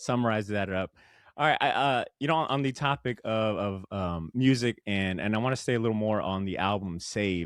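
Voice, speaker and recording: A man's normal speaking voice, fairly low in pitch with ordinary variation, at a moderate pace. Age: 30s. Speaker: podcast host. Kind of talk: casual interview chat. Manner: casual, expressive.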